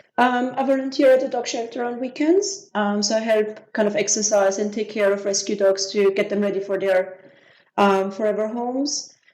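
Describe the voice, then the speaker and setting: A woman with an Austrian accent, fairly high in pitch, with fairly even intonation. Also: moderate pace. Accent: Austrian German accent, often heard as French. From Austria, Vienna. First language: German. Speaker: business systems manager. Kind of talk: podcast interview. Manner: hesitant, many filler ums.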